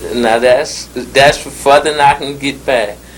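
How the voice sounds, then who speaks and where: With noticeable background noise behind him, a man speaks in a strong Southern US accent. His pitch variation is ordinary. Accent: deep Southern US. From southern United States (Mississippi). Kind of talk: interview answer. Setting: old archival recording.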